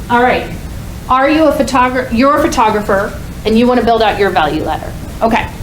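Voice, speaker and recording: Speaking very fast in a fairly high pitch, a woman uses lively intonation. Noticeable background noise and audible room echo are present. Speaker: conference speaker. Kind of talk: workshop talk. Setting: stage with audience. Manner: loud.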